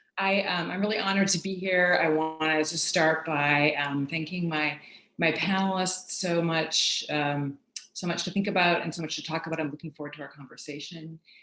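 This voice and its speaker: This woman has an unremarkable speaking voice with a fairly low pitch. She speaks at a moderate pace with fairly even intonation. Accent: American. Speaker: professor. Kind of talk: academic talk.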